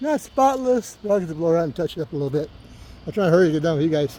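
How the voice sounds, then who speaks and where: A man with lively intonation. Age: 60s. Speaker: lawn care worker and video creator. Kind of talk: casual vlog talk to camera. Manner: casual, rambling with fillers.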